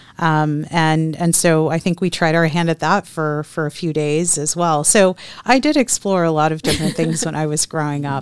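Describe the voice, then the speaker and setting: A woman with an American accent, a very deep, low pitch and fairly even intonation, at a moderate pace with hardly any pauses. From Texas. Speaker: nonprofit chamber of commerce president. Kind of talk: interview.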